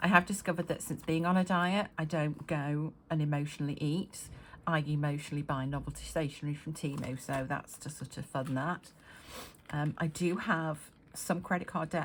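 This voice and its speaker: A woman's very deep, low voice, somewhat breathy. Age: 50s. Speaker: budgeting vlogger. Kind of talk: casual talk to camera. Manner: hesitant, many fillers.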